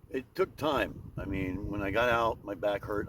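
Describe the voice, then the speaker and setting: As this man talks, noticeable background noise can be heard. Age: 50s. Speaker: homeless veteran. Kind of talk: interview. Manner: halting.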